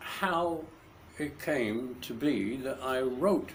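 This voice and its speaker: A man talks at a medium pitch over noticeable background noise. There is audible room echo. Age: 60s. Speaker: grandfather telling family stories. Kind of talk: storytelling to a grandchild. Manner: halting.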